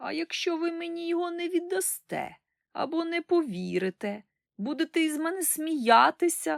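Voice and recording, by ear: In a put-on character voice, a woman whines at an extremely high pitch with a whiny, tearful tone and a moderate pace. The very clean recording has a silent background and a dry, close sound with no echo.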